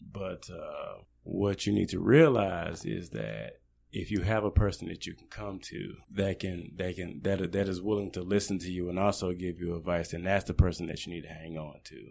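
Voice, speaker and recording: On a very clean recording with a silent background, a man speaks at a moderate pace with hardly any pauses. His pitch is very deep and low, with ordinary pitch variation and big swings in loudness. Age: 40s. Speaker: podcast guest. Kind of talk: interview.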